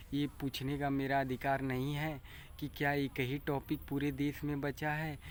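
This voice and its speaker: A man's fairly high voice in a flat monotone, on a very clean recording with a silent background. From Bhojpuri-speaking region of north India. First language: Bhojpuri (speaking Hindi). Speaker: farmer and vlogger. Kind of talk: casual vlog monologue. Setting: outdoors by paddy field. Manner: halting.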